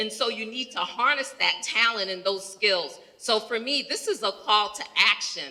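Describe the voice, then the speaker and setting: A woman talks in an animated tone at a moderate pace, with ordinary pitch variation and hardly any pauses. Noticeable background noise sits under her voice. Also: fairly high pitch for a woman. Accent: American. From New York. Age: 60s. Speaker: healthcare executive. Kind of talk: audience comment at panel Q&A.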